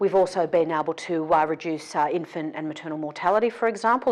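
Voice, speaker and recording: An Australian accent at a very fast pace, with ordinary pitch variation over a quiet background. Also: woman. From south coast of New South Wales, Australia. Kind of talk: interview answer.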